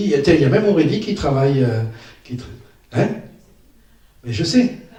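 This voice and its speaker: A man's somewhat breathy, dark and mellow voice at medium pitch and moderate pace, with audible room echo. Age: 60s. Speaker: stand-up comedian. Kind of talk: stand-up. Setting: stage with audience. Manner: animated.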